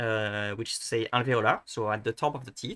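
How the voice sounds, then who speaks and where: A man with a French accent talks in a bright, sharp tone. The sound is dry and close, with no echo. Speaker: language video creator. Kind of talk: tutorial. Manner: halting, many false starts; casual, thinking aloud.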